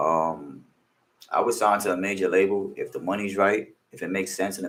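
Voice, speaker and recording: A man speaks with a New York accent. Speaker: music producer and rapper. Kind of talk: casual interview.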